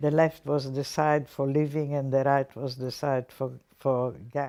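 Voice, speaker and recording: The woman's tone comes across dark and mellow. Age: 80s+. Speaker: Holocaust survivor. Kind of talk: testimony.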